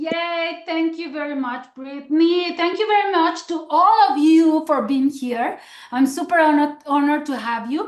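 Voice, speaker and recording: A woman with a Mexican accent, a warm tone and a high pitch with ordinary variation. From Mexico. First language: Spanish. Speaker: direct sales executive. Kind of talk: motivational business training. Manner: warm, encouraging.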